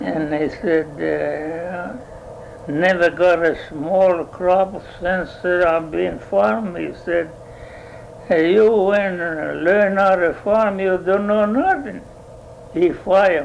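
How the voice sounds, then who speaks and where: Over noticeable background noise, a man with a high pitch and ordinary pitch variation talks at a very slow pace. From Italy. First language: Italian. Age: 80s+. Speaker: dairy farmer. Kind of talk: oral history interview answer.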